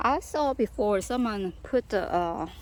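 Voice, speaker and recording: A woman speaks with a Korean accent. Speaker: gardening vlogger. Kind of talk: casual garden tour vlog. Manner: halting.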